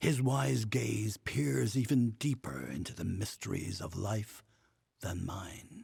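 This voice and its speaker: A man's put-on character voice, fairly low in pitch, with very wide pitch swings and a fairly slow pace. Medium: video game. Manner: formal, measured.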